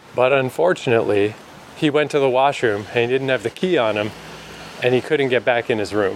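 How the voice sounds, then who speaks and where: Noticeable background noise sits behind a man talking at a fairly quick pace. His loudness stays very even while his pitch varies in an ordinary way. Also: medium pitch for a man. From New Brunswick, Canada. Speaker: travel podcaster. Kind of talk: solo casual monologue. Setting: travelling in Montreal.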